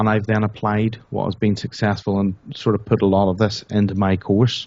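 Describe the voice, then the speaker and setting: A man speaks with a Northern Irish accent. His pitch is medium. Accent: Northern Irish, noticeable. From Northern Ireland. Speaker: internet marketer, product creator. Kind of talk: interview.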